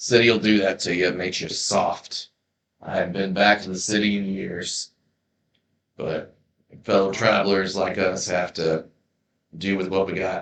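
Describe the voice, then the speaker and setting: A man speaks in a put-on character voice that is raspy and very deep, with a very low pitch. He keeps a moderate pace, broken by long, frequent pauses. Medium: actual play. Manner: gruff, laconic, dry humor.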